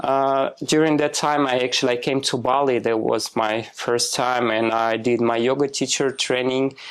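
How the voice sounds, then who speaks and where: A man with a Russian accent talks at a moderate pace and medium pitch, with monotone, flat intonation and hardly any pauses. His loudness stays very even, and the recording is very clean with a silent background. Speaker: spiritual healer, former clinical trials worker. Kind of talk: podcast interview.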